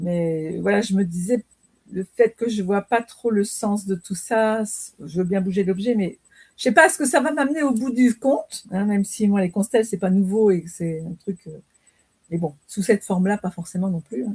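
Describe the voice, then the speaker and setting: Her voice is medium in pitch and somewhat breathy, at a moderate pace. The woman's sound is dry and close, with no echo. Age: 60s. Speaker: training participant. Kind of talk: casual chat. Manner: halting.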